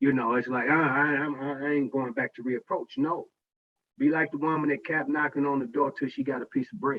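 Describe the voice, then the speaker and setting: In a normal speaking voice, the delivery moves at a fairly quick pace with fairly even intonation. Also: man, fairly high pitch for a man. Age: 60s. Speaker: parent association president. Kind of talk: online meeting remarks. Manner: casual, conversational.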